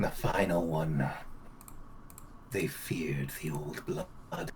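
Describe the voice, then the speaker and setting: Using a put-on character voice at a very deep, low pitch, a man speaks at a very slow pace over clear background noise. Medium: actual play. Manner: archaic, cryptic.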